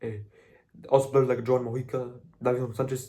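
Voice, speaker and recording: A man's medium-pitched, somewhat breathy voice with a dark, mellow tone and a Spanish accent. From Colombia. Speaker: football content creator. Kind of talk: casual monologue. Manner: halting, many fillers and repeats; animated.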